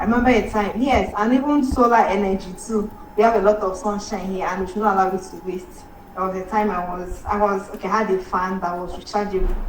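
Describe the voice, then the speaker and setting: A woman talks at a fairly quick pace in a medium pitch with fairly even intonation. There is noticeable background noise. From Nigeria. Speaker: medical doctor. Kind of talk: motivational speech.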